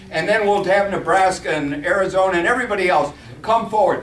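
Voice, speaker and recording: A high-pitched man speaks with ordinary pitch variation amid noticeable background noise and audible room echo. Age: 60s. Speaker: congressional candidate. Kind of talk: campaign speech with audience Q&A. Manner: halting; animated.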